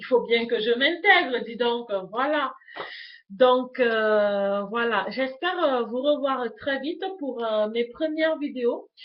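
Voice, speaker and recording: At a very slow pace, a woman talks with a high pitch. Her loudness swings widely while her pitch varies in an ordinary way. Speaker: YouTuber, lifestyle vlogger. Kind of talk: casual vlog introduction to webcam. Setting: home webcam recording. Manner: hesitant, many fillers (euh).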